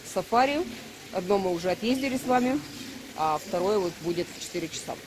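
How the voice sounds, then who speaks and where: Background noise is noticeable. Through it, a woman talks. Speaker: travel vlogger. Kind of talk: casual vlog chat. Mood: relaxed, cheerful. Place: cafe. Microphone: phone near.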